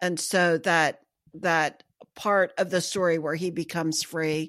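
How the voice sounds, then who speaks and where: Fairly low and monotone, a woman's voice with an American accent sounds flat on a very clean recording with a silent background. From US Midwest, small town. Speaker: book podcast co-host. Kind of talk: casual chat.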